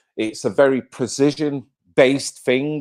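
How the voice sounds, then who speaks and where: The recording is very clean with a silent background. In it, a man with a Mancunian accent speaks in an animated tone. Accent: Manchester (Mancunian). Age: 50s. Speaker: live-stream host. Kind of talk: casual live-stream chat.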